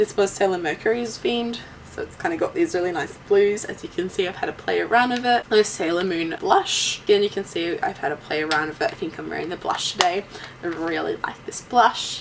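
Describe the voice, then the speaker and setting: An enthusiastic woman at a fairly quick pace, with noticeable background noise. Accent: Australian. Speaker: YouTuber. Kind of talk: haul video monologue. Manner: casual, enthusiastic.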